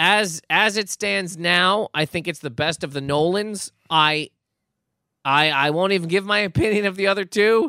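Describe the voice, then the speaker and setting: On a very clean, dry, close recording with a silent background and no echo, a man speaks at a moderate pace in a high voice with a bright, sharp tone and ordinary pitch variation. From Nova Scotia, Canada. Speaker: comedian. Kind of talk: casual chat.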